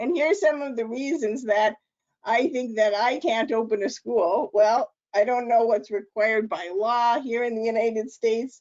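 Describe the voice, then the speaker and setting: In a plain, everyday voice, a woman speaks at a fairly high pitch and a moderate pace. Her pitch variation is ordinary. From Canada. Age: 50s. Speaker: author and lean consultant. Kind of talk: interactive webinar workshop.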